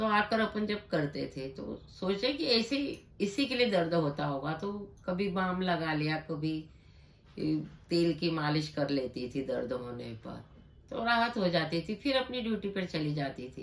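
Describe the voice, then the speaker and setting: Her fairly low voice moves through very wide pitch swings as this woman speaks. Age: 60s. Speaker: patient. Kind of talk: testimony.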